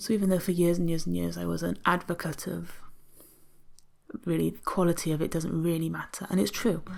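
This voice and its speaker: A soft-spoken woman with an English accent talks at a fairly quick pace in a relaxed tone, with long, frequent pauses. Music plays in the background. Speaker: mixed media illustrator. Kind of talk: tutorial.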